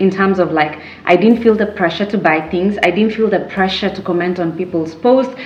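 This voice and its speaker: A woman talks at a moderate pace and medium pitch with fairly even intonation. There is audible room echo and noticeable background noise. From Kenya. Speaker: YouTuber, lifestyle vlogger. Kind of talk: casual chat to camera. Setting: sitting at home, sipping a drink. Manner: conversational, many fillers and repeats.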